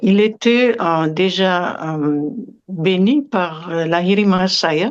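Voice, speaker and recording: Speaking very slowly at a medium pitch with ordinary pitch variation, a woman is heard over noticeable background noise. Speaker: yoga meditation teacher. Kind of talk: interview. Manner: halting, many hesitations.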